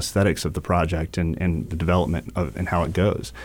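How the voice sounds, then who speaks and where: A very fast-talking man with a Southern US accent, a very deep, low pitch and vocal fry. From eastern North Carolina (New Bern). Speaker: city council candidate, small business owner. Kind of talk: radio interview.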